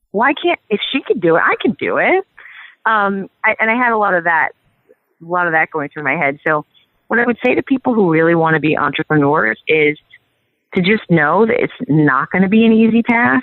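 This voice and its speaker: A woman speaks at a fairly quick pace with a New York accent. Her pitch swings very widely. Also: medium pitch for a woman. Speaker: PR expert and agency CEO. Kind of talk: podcast interview.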